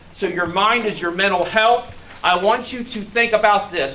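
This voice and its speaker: A high-pitched man with an American accent, fairly slow pace, ordinary pitch variation, and light background noise. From US Midwest. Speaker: sheriff's deputy. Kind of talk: public speech. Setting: outdoors. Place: garage. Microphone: camera far.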